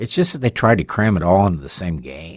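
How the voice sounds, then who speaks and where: A man with a normal speaking voice and a fairly low pitch talks with ordinary pitch variation on a very clean recording with a silent background. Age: 60s. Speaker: sports radio host. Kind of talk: casual sports talk.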